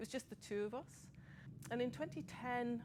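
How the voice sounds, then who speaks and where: A woman with a Scottish accent talks at a moderate pace. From Scotland. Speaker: person with lived experience of suicidal crisis. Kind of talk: testimony.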